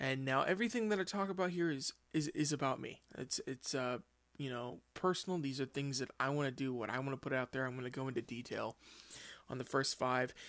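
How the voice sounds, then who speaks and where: A man with an American accent, an unremarkable speaking voice, ordinary pitch variation and a fairly quick pace. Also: medium pitch for a man. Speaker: podcast host. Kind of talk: casual solo monologue. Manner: informal, filler-heavy.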